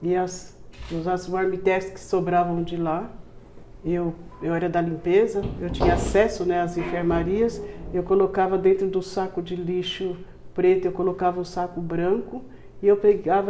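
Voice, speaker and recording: A woman of medium pitch speaks in a flat monotone at a moderate pace, with noticeable background noise behind her. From Brazil, São Paulo. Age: 70s. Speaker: community charity founder. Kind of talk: interview testimony.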